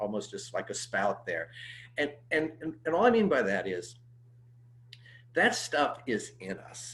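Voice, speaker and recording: A man with an American accent talks at a fairly slow pace, with long, frequent pauses and big swings in loudness. His fairly high pitch swings very widely, with vocal fry. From US Midwest (Cincinnati and St. Louis). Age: 60s. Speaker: pastor. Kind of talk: interview conversation. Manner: halting, many fillers.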